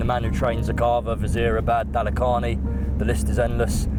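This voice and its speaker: Music plays in the background while a man speaks with very wide pitch swings. His voice carries audible room echo. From London, raised from age six, Irish-born (Tipperary). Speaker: horse racing blogger and content creator. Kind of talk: vlog presenting and casual chat. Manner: animated, enthusiastic.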